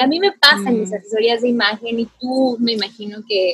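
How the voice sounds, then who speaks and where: With a plain, everyday voice, a woman speaks at a fairly high pitch and a moderate pace. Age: 30s. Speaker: podcast host. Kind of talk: casual chat.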